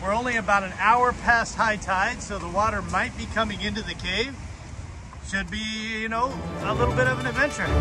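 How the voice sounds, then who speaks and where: At a fairly quick pace, a man speaks with clear music in the background. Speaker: hiking vlogger. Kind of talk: casual vlog chat. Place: beach. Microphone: phone near.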